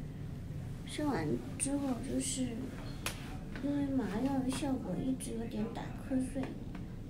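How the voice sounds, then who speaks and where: Loud background noise runs under this recording. A woman speaks at a very slow pace. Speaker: new mother vlogger. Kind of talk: casual vlog chat. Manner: drowsy, weak post-delivery voice.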